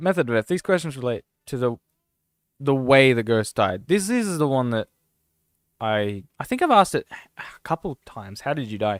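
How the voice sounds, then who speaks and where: A man with an Australian accent talks at a moderate pace and medium pitch, with very wide pitch swings and long, frequent pauses. The sound is dry and close with no echo, in a very clean recording with a silent background. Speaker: gaming streamer. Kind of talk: casual live-stream commentary. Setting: live stream.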